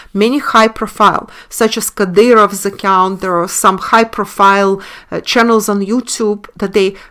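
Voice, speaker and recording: The voice is bright and sharp, in a Russian accent, monotone and flat at a moderate pace with hardly any pauses. The recording is very clean, with a silent background. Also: woman, medium pitch for a woman. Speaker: online commentator and webinar teacher. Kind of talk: video monologue. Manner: halting, many fillers.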